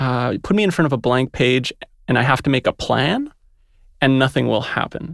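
In a plain, everyday voice, a man speaks at a moderate pace and a fairly high pitch with lively intonation, the sound dry and close with no echo. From Montreal, Canada. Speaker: yoga teacher and writer. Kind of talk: casual chat. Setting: studio.

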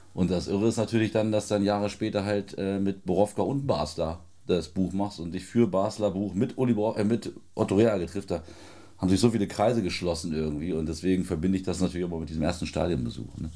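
A man's very deep, low voice with a dark, mellow tone, ordinary pitch variation, and a very fast pace. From Lower Saxony, Celle area. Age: 30s. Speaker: football journalist and author. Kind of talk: casual chat. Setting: studio.

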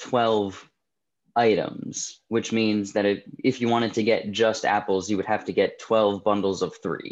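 Against a quiet background, a man with an American accent talks at a fairly slow pace in a monotone, flat intonation. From New Jersey. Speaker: food delivery business founder. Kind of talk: interview.

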